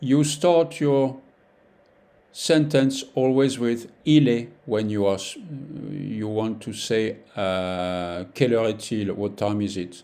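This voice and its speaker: A dark, mellow tone in a French accent, very slow in pace, with lively intonation. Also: man, medium pitch for a man. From France. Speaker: French teacher. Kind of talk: language lesson tutorial. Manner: slow, repeating phrases for learners; halting, with many fillers.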